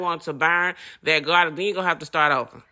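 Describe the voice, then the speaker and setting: Her voice has an animated, bright, sharp tone as a woman speaks with a Southern accent. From US South. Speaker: home cooking channel host. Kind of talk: cooking tutorial.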